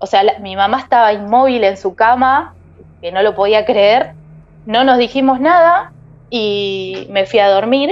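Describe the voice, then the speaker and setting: A woman with a Rioplatense accent, fairly high pitch, lively intonation, and a fairly slow pace. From Argentina, Buenos Aires province. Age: 30s. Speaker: storyteller guest. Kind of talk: personal testimony.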